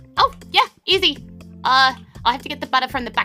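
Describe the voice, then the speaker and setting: With faint music in the background, a woman puts on a squeaky character voice at a high pitch and a fairly quick pace. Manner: helpful, serving a customer.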